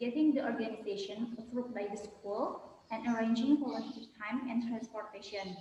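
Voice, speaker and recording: Speaking at a moderate pace, the woman has a fairly high pitch. Her intonation is fairly even, and room echo is audible. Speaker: student. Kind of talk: role-play job interview.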